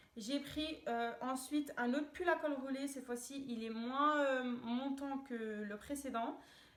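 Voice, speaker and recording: A woman is the one talking. Audible room echo hangs on her voice. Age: 20s. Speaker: fashion vlogger. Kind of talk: haul video, casual. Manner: hesitant, many fillers; enthusiastic.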